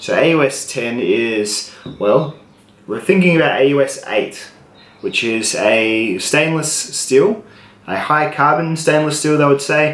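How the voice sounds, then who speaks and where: A man speaks at a fairly slow pace with lively intonation, with audible room echo and noticeable background noise. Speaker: knife reviewer. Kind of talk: product review tutorial.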